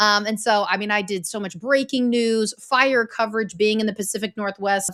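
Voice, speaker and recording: At a fairly quick pace, a woman speaks with a plain, everyday voice at medium pitch. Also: very clean recording, silent background. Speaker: former news anchor, story coach. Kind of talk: interview.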